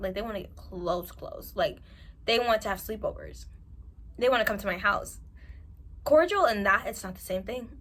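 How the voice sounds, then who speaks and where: Big swings in loudness mark this woman's speech, delivered at a moderate pace with an American accent. Noticeable background noise runs underneath. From New York. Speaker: self-improvement vlogger. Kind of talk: advice monologue to camera. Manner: animated.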